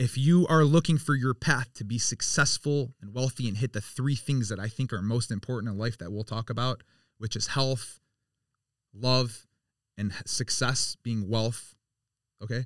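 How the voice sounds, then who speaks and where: A man speaks at a medium pitch and moderate pace with ordinary pitch variation. The recording is very clean with a silent background and a dry, close sound with no echo. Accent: American. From Michigan, US (Birmingham, Detroit area). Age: 40s. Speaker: youth jiu-jitsu academy owner. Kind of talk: casual interview chat. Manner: repetitive, halting.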